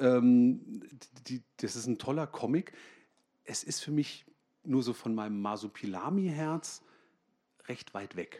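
The delivery is very slow, with long, frequent pauses. The tone is dark and mellow, and the intonation is lively. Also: man, medium pitch for a man. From Germany, Münster. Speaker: comic artist. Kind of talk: comic reading and conversation on stage. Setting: library stage with audience.

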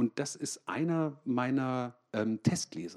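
A man speaks in a dark, mellow tone at a medium pitch. His intonation is lively. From Germany, Münster. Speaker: comic artist. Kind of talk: comic reading and conversation on stage. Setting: library stage with audience.

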